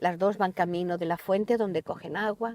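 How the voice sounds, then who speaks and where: A woman speaks at a moderate pace with a medium pitch. Her tone is dark and mellow. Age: 70s. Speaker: poet. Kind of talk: interview conversation.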